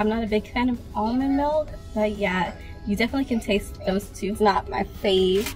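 A woman talks at a fairly quick pace with fairly even intonation. Faint music plays in the background. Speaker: vlogger. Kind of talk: casual vlog chat. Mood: relaxed, chatty. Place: car. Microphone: phone near.

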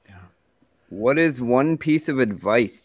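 A man with a Canadian accent at a moderate pace, ordinary pitch variation, a dry sound with no echo and a quiet background. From Canada. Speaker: podcast host. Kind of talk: casual chat. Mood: relaxed, friendly. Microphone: studio mic.

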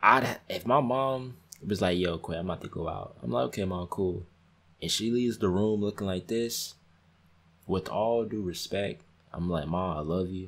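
Quietly, a man with a very deep, low pitch speaks at a moderate pace with lively intonation and long, frequent pauses. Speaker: YouTube reaction creator. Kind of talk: reaction video commentary. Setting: at home, others sleeping. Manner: kept quiet, voice down. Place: home room.

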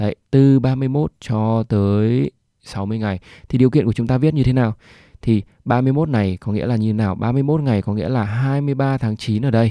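A man's medium-pitched voice with a dark, mellow tone, ordinary pitch variation and a fairly slow pace, in a dry, close sound with no echo over a quiet background. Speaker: Excel tutorial instructor. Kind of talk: screen-recorded tutorial. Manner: hesitant fillers, explanatory.

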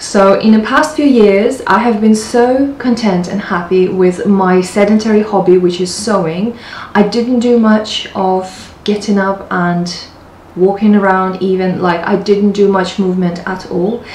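With audible room echo and light background noise, a woman speaks in fairly even intonation. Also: fairly slow pace. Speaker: lifestyle vlogger. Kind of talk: casual vlog chat. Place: home room. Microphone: camera far.

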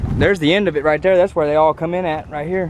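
Against light background noise, a man speaks at a high pitch with ordinary pitch variation, the sound dry with no echo. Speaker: railfan vlogger. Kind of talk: casual vlog chat. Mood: interested, a bit hot. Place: open country. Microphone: phone near.

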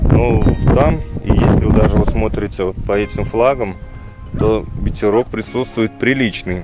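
Clear music plays in the background as a man talks at a moderate pace. The sound is dry, with no echo. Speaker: fishing channel host. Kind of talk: casual vlog chat. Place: open country. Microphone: phone near.

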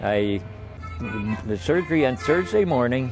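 A man speaks with lively intonation in a dry recording with no echo. Clear music plays in the background. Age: 80s+. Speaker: accordion player. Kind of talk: interview answer. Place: garden. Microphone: lapel.

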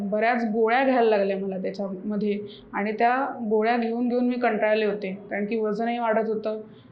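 Over noticeable background noise and audible room echo, a woman talks at a fairly high pitch in a monotone, flat intonation. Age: 20s. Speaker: patient. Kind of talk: testimonial.

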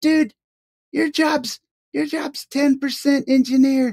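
This female-sounding voice is a put-on character voice set at a high pitch.

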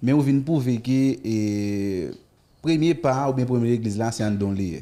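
A man speaking at a fairly quick pace, with ordinary pitch variation. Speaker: TV show host. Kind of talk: interview. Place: studio. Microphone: studio mic.

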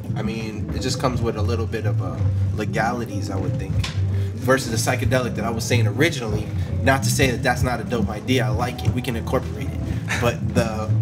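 Over background music, a man speaks at a very fast pace. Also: ordinary pitch variation. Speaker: podcast host. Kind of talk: casual conversation. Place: studio. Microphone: studio mic.

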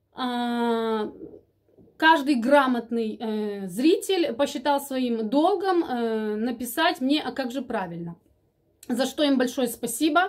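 Speaking at a very slow pace in a Ukrainian accent, a woman uses a high pitch and lively intonation. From Ukraine. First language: Ukrainian (speaking Russian). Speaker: vlogger. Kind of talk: casual chat. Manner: halting, many filler sounds. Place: home room. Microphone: phone near.

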